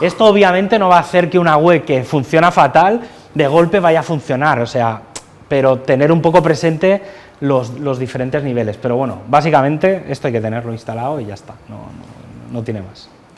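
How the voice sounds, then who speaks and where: With big swings in loudness and lively intonation, a man of fairly high pitch speaks at a fairly quick pace. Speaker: conference speaker. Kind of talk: technical talk. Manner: fast. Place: classroom. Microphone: lapel.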